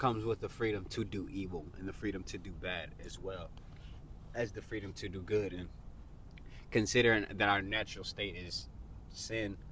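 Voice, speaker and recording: With a bright, sharp tone and some vocal fry, a man speaks at a moderate pace in a fairly low pitch and fairly even intonation, leaving long, frequent pauses. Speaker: podcast host. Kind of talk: casual conversation.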